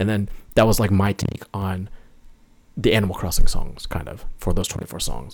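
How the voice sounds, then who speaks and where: A man with an American accent speaks at a moderate pace and a fairly low pitch, with ordinary pitch variation. Vocal fry runs through his voice. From New York State, north of the city. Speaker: musician, video game music composer. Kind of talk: casual interview chat.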